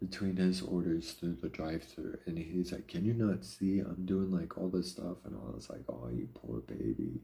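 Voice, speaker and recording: With a very deep voice that is dark, mellow and somewhat breathy, a man talks at a moderate pace with lively intonation and hardly any pauses. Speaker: live streamer. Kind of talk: casual chat. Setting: live stream. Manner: casual, conversational.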